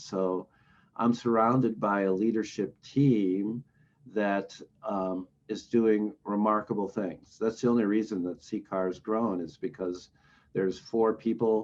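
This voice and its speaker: Talking at a fairly slow pace, a man with a normal speaking voice keeps a fairly low pitch and fairly even intonation. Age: 60s. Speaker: recovery organization director. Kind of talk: interview.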